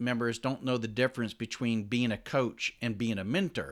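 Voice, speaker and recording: A man speaks in a normal speaking voice at a medium pitch and fairly quick pace, on a very clean recording with a silent background. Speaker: podcast host, retired soldier. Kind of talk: interview conversation.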